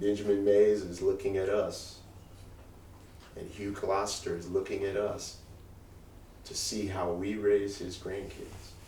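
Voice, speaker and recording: A man at a fairly slow pace, with long, frequent pauses and big swings in loudness, amid audible room echo and noticeable background noise. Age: 60s. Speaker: college president. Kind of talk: talk to alumni with Q&A.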